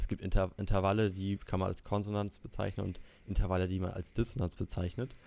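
A man speaks very fast in a very deep, low monotone with flat intonation and a dark, mellow tone. The recording is very clean, with a silent background. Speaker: student and YouTuber. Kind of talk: casual chat.

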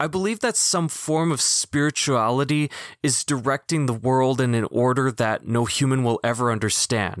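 In a Manitoban accent, a man speaks at a moderate pace and medium pitch with ordinary pitch variation and very even loudness, and the sound is dry and close with no echo. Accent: Canadian (Manitoba). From Canada, Winnipeg. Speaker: podcast host. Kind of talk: personal testimony monologue.

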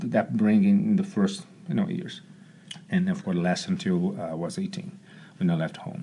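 A man is speaking. He has a Portuguese accent. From Brazil, Rio de Janeiro. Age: 40s. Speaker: martial arts coach. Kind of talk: casual chat. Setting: studio.

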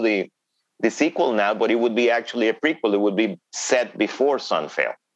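A man speaks in a Spanish accent at a moderate pace. His pitch varies in an ordinary way. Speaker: thriller novelist. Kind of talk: interview. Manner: hesitant with fillers.

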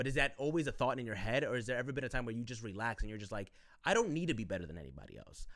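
This is a very clean recording with a silent background. A man speaks at a medium pitch. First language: not English (learned English as a child). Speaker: podcast co-host. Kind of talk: casual chat.

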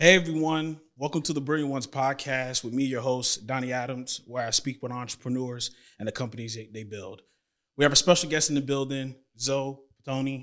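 A man with an American accent talks at a fairly quick pace and medium pitch. His intonation stays fairly even, while his loudness swings widely. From Tampa, Florida. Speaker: podcast host. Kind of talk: casual interview; scripted show intro. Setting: studio. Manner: halting, repeats words.

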